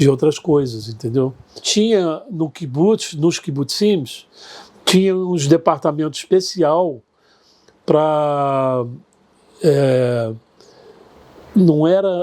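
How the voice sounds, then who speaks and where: With long, frequent pauses, a man speaks very slowly at a fairly high pitch in a dark, mellow tone. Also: ordinary pitch variation. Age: 70s.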